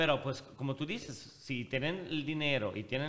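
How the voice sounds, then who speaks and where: Here is a man with an Italian accent. He talks at a moderate pace. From Switzerland, Italian family. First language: Italian (speaking Spanish). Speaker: social media personality. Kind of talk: casual chat. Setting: recording venue in a house.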